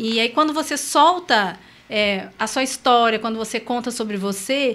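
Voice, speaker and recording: This woman's pitch is fairly high. Her voice has a bright, sharp tone. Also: ordinary pitch variation, fairly slow pace. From Brazil, São José do Rio Preto, São Paulo state. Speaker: motivational speaker and coach. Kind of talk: interview.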